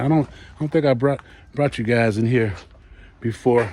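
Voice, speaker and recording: Relaxed and somewhat breathy, a man speaks with an American accent. He keeps a moderate pace. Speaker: gardening vlogger. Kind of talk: casual walk-around vlog. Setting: outdoors in garden and greenhouse. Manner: relaxed, with fillers and repeats.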